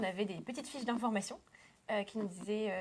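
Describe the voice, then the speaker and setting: Her intonation is fairly even. The woman's pitch sits in the medium range. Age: 20s. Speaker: student actor. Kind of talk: interview.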